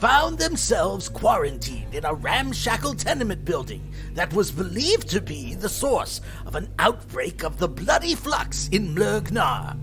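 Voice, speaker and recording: Over loud background music, a put-on character voice moves at a moderate pace. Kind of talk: fantasy podcast host persona. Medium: actual play. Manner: hearty, theatrical.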